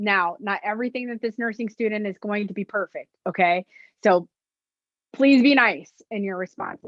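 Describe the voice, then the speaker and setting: Here a woman talks with a fairly high pitch. Her pitch varies in an ordinary way. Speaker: nurse educator on violence prevention. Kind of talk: lecture. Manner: loud.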